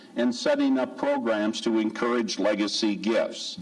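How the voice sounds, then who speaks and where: Through noticeable background noise and audible room echo, a man with an American accent speaks at a fairly slow pace. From US Midwest. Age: 60s. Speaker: church lay speaker, giving ministry chair. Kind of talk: church talk on giving. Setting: church service.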